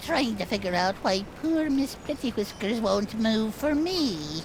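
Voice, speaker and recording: A put-on character voice at a fairly high pitch over loud background noise. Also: fairly slow pace. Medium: video game. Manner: gruff, touchy.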